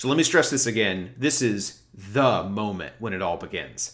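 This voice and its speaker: With lively intonation, a man speaks at a medium pitch in a normal speaking voice. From US South, small-town Alabama. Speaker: podcast host, book reviewer. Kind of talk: solo podcast monologue, book discussion.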